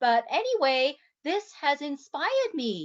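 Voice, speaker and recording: High-pitched and animated, a woman talks with an English accent. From England. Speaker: health coach, interview host. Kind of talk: casual interview chat.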